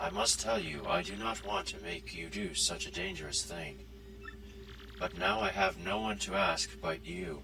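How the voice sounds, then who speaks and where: Over loud background noise, a man puts on a cartoonish character voice, very deep and low, at a moderate pace. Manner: formal, measured, polite.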